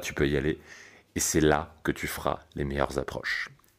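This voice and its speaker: Delivery comes at a moderate pace. The tone is calm and relaxed. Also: man. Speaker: dating coach and podcast host. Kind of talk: solo podcast monologue. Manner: calm, relaxed.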